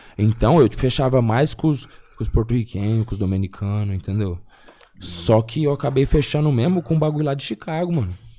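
Speaking at a fairly quick pace, a man uses lively intonation in a dark, mellow, somewhat breathy tone. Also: medium pitch for a man. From Paraná, Brazil (Biporã, near Londrina). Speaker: rapper. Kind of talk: casual chat.

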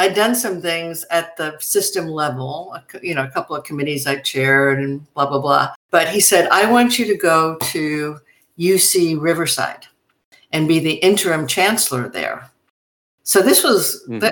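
In an American accent, a woman with an unremarkable speaking voice and a fairly low pitch talks at a moderate pace with lively intonation. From US Northeast, New York City. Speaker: university president. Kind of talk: interview.

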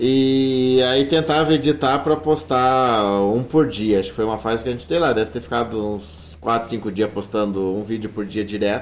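At a moderate pace and with hardly any pauses, a man uses an ordinary speaking voice at medium pitch with lively intonation. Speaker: travel YouTuber. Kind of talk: casual interview.

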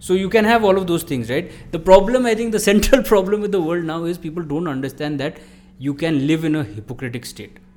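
Over music in the background, a man talks at a fairly quick pace with a high pitch. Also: lively intonation. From India, Sikkim. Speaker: psychology professor. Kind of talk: casual chat.

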